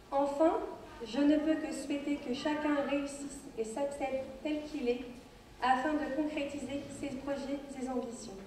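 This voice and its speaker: A woman speaks in a high, monotone voice with flat intonation at a fairly slow pace. Room echo is audible. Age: 20s. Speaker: beauty pageant contestant. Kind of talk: prepared speech. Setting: stage with audience.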